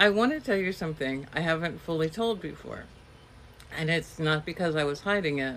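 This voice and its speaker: A woman's fairly low-pitched voice with ordinary pitch variation, a normal speaking voice. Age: 60s. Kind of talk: personal reflective talk to camera.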